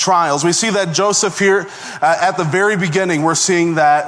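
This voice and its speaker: Through noticeable background noise and audible room echo, a man with a high pitch speaks at a moderate pace with fairly even intonation. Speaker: assistant pastor, guest preacher. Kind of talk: sermon.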